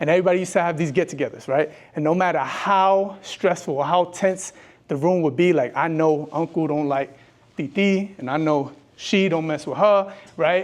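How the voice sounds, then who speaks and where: In a strong New York accent, an animated voice moves at a moderate pace with ordinary pitch variation over a quiet background. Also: man, high pitch for a man. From New York, Brooklyn. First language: bilingual Spanish and English. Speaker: educator and speaker. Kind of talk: motivational talk.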